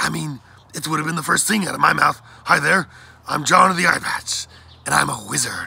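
A man's put-on character voice, husky with a rough edge and vocal fry, fairly high for a man, bright and sharp in tone, at a fairly quick pace with ordinary pitch variation.

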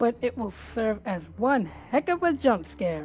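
This female-sounding voice is a put-on character voice. It sits at a medium pitch and moves at a fairly slow pace. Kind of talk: comic overacting. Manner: gleeful, villainous, over the top.

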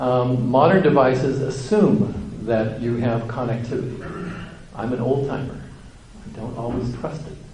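A man with an American accent speaks at a moderate pace and medium pitch with ordinary pitch variation, with audible room echo and noticeable background noise around him. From US West Coast, Santa Clara County, California. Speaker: university administrator and engineer. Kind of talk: lecture. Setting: conference luncheon with audience.

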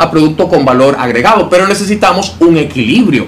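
Light background noise sits behind a man talking at a fairly quick pace with lively intonation. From Dominican Republic. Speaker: interviewer and analyst. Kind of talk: interview. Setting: office. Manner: formal. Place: studio. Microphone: studio mic.

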